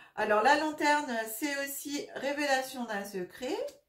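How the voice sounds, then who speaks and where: A woman's high-pitched voice at a very slow pace, with audible room echo. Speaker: tarot reader and energy healer. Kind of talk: tarot reading monologue. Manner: hesitant, many fillers.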